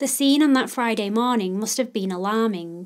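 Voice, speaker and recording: Recorded very cleanly against a silent background, a woman with a fairly high pitch talks at a moderate pace with ordinary pitch variation in a normal speaking voice. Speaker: podcast host. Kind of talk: true-crime narration, scripted and read aloud. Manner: solemn, measured, even-paced storytelling; formal, serious, respectful toward victims.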